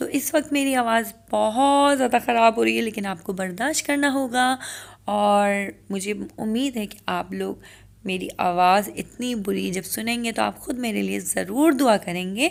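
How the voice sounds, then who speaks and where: A woman talks at a very slow pace in a fairly high pitch. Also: ordinary pitch variation. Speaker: cooking vlogger. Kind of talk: casual vlog talk.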